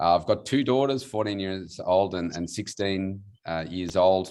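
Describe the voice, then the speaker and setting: A man's very deep, low voice with an Australian accent at a moderate pace, in a quiet background. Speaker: weight loss coach. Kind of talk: panel self-introduction. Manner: halting, many fillers.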